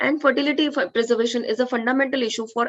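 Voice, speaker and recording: A woman's high-pitched voice with an Indian accent, ordinary pitch variation and a very fast pace. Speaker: oncologist. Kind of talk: conference talk.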